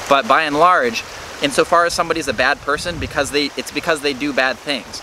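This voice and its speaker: Over noticeable background noise, the speaker goes at a fairly quick pace with fairly even intonation. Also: man, fairly high pitch for a man. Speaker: political commentary youtuber. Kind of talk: casual monologue to camera. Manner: halting, self-correcting.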